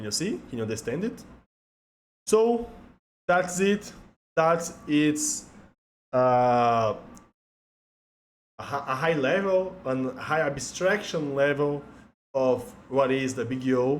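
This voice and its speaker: The speech comes in a Portuguese accent at a very slow pace. Long, frequent pauses break it up. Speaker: software engineer, tech educator. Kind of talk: tutorial. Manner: halting.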